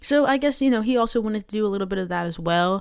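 With an American accent, the speaker shows ordinary pitch variation in a very clean recording with a silent background. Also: woman. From Maryland. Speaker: podcast host, aspiring actor. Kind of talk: casual monologue. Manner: hesitant, many fillers.

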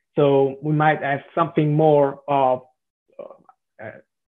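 In an Italian accent, a man talks in a fairly high pitch with monotone, flat intonation. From southern Italy. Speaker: software developer. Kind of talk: interview. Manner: halting.

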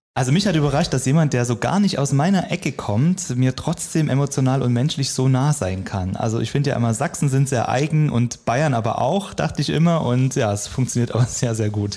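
Lively intonation at a fairly quick pace with hardly any pauses and very even loudness, over noticeable background noise. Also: man, medium pitch for a man. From eastern Germany. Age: 30s. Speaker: radio worker. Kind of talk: interview.

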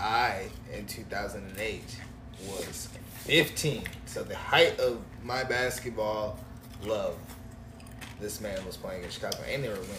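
A man talks at a fairly slow pace with long, frequent pauses and big swings in loudness, with audible room echo and noticeable background noise. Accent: American. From US Midwest, Illinois. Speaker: podcast co-host. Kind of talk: casual chat.

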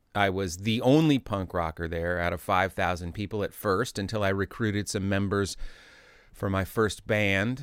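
A man's ordinary speaking voice, fairly low in pitch, with an American accent, ordinary pitch variation and a moderate pace, on a very clean recording with a silent background. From Indianapolis, Indiana, US Midwest. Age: 50s. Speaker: musician and music lecturer. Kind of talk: interview. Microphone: sounds good; host's voice bleeds into his recording.

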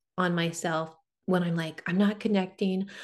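Moderate pace, medium pitch and fairly even intonation from a woman with an ordinary speaking voice. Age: 40s. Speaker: psychic medium. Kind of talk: casual chat.

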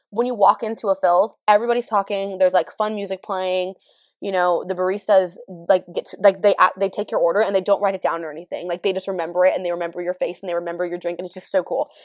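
A woman with an American accent talks at a very fast pace and a medium pitch, her intonation fairly even. Her loudness swings widely, and the sound is dry and close with no echo. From California. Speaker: podcaster. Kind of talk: casual solo chat. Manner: fast talker; casual, candid, laughs often.

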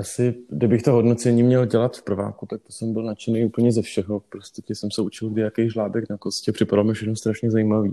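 Fairly quick and with hardly any pauses, a man speaks at a medium pitch in a dark, mellow tone, his intonation monotone and flat. His loudness swings widely, and the sound is dry and close with no echo. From northern Bohemia, Czech Republic (Varnsdorf). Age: 30s. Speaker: dermatologist. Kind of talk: interview.

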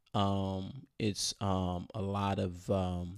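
On a very clean recording with a silent background, a man has an ordinary speaking voice. His pitch is fairly low and his intonation fairly even. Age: 30s. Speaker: podcast co-host. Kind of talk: casual chat.

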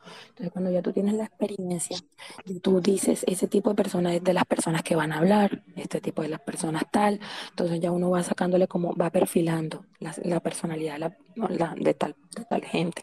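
A woman with a coastal Colombian accent, a fairly low pitch and a fairly quick pace, in a dry, close sound with no echo. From Colombian Caribbean coast, Santa Marta. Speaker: participant sharing experience. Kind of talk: personal story in live chat.

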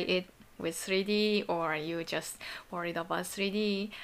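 A woman speaks at a very slow pace in a monotone with flat intonation. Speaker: solo podcast host. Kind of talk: casual bilingual monologue. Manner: halting in English, self-correcting. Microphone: voice recorder app on laptop.

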